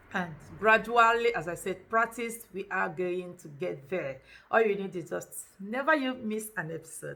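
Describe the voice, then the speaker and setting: A woman with a Nigerian accent speaks at a moderate pace in a medium pitch, her bright, sharp tone carrying lively intonation and big swings in loudness. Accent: Nigerian Igbo English. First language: Igbo. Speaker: language teacher. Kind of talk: tutorial. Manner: animated.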